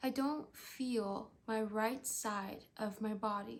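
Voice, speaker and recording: At a very slow pace, a woman speaks with a fairly high pitch, a somewhat breathy quality and monotone, flat intonation. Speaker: stroke survivor. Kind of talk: scripted narration. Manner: halting.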